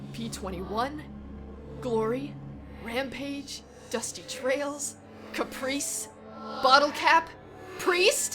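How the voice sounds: Putting on a character voice, a woman speaks very slowly at a high pitch with a bright, sharp tone and ordinary pitch variation, faint music behind her.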